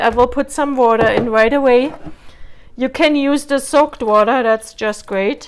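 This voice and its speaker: Speaking at a moderate pace with a non-native accent, a woman keeps a high pitch and fairly even intonation. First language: not English. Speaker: cooking vlogger. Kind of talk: cooking tutorial. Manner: casual, hesitant with fillers.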